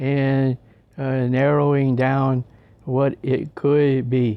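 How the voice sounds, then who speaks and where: A man speaks at a very slow pace. His voice sits fairly high. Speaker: person with a degenerative brain disease sharing his experience. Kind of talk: interview answers. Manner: halting, frequent fillers; projecting a louder voice than usual.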